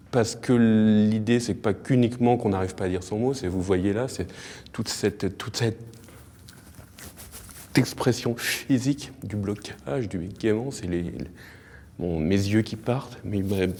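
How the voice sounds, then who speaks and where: Long, frequent pauses mark this man's speech. He goes at a very slow pace with ordinary pitch variation. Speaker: author. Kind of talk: interview answer.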